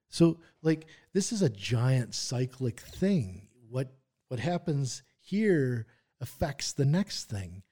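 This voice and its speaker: Somewhat breathy and dark, mellow in tone, a man speaks at a very slow pace. The recording is very clean, with a silent background. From Wisconsin, US Midwest. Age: 40s. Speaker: musculoskeletal rehab therapist. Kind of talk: interview conversation.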